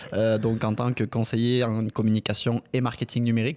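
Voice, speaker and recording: A man's medium-pitched, flat monotone voice on a very clean recording with a silent background. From southern France (Mazamet, near Toulouse). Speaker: marketing agency founder. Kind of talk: podcast interview.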